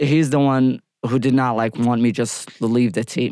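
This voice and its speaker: A man speaks with an Iraqi accent at a medium pitch. His pace is fairly slow. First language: Arabic. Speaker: former military interpreter. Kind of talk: interview.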